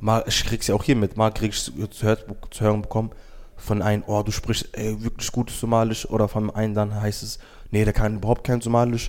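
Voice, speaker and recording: At a fairly quick pace, a man speaks in a monotone, flat intonation with a fairly low pitch. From Germany, Wiesbaden (Somali family). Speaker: youth program participant. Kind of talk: casual interview.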